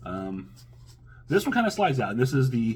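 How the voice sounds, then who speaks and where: This is a man with a medium pitch. His voice is somewhat breathy. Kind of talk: casual talk to camera, product unboxing review. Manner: hesitant, many filler words.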